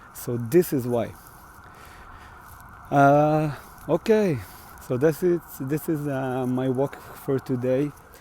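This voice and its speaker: Over noticeable background noise, a man with an Israeli accent speaks with ordinary pitch variation. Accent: Israeli Hebrew. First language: Hebrew. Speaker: musician. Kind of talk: casual livestream vlog. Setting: outdoors on a walk. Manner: halting, many fillers.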